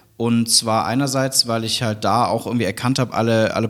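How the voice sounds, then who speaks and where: With an unremarkable speaking voice, a man holds a medium pitch and fairly even intonation. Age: 30s. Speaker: university founder and chancellor. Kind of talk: interview.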